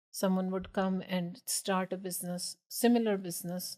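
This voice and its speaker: A woman's flat, monotone voice, dry and close with no echo. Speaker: business owner. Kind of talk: podcast interview.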